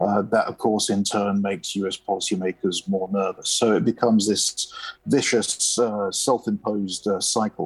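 A man with a British accent at a fairly slow pace, dry and close with no echo. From United Kingdom. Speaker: space policy analyst. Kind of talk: interview.

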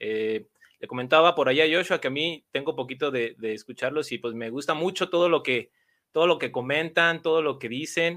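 This man has a normal speaking voice, fairly high in pitch. He talks at a fairly quick pace with ordinary pitch variation. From Mexico. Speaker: guest fan, youtuber. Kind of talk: casual chat.

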